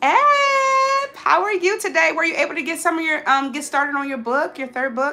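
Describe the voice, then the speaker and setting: Through noticeable background noise, a woman with an extremely high pitch and very wide pitch swings speaks in a raised, projected voice at a moderate pace. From Alabama. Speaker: lifestyle livestreamer. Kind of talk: casual livestream chat while cooking. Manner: chatty, repeats phrases.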